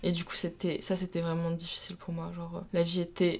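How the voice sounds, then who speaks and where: At a very fast pace, a woman talks with a fairly low pitch. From France, Troyes (Champagne). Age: 20s. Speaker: student athlete, rower. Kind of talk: casual interview. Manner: hesitant, many fillers.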